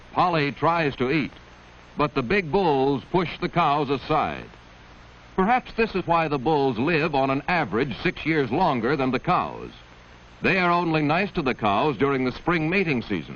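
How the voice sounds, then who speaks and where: This man's voice has vocal fry and a fairly high pitch. He speaks at a moderate pace. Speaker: narrator. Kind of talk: vintage educational nature film narration. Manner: gentle, storytelling.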